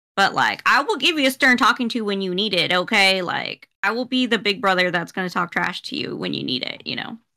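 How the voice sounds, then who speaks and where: A woman speaks fairly quickly with lively intonation, vocal fry and a bright, sharp tone. The background is quiet. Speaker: podcast co-host. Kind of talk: casual chat. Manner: mumbles; halting. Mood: animated, critical, joking. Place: home room.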